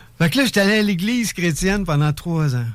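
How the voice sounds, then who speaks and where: Here is a man with a high-pitched voice. He speaks with a Quebec accent. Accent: Québécois French. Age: 60s. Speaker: entrepreneur. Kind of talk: radio interview, personal testimony. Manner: animated.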